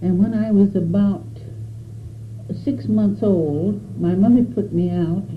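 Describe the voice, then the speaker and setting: With an American accent, a woman of fairly low pitch speaks at a fairly slow pace with long, frequent pauses amid audible room echo. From Arizona, US Southwest. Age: 80s+. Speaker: elderly pioneer recounting her life. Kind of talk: oral history interview. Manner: halting, with frequent hesitations.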